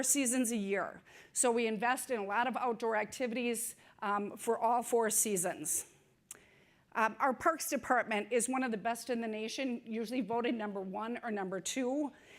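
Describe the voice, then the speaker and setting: Here a woman speaks with an Upper Midwest accent at a fairly high pitch. Her pitch varies in an ordinary way. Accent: Upper Midwest American. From Saint Paul, Minnesota. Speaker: city public works director. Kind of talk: conference talk. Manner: fast.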